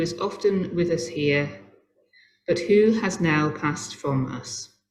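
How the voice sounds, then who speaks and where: With lively intonation and a fairly low pitch, this woman has a plain, everyday voice. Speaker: service leader. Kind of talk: memorial service address and prayer.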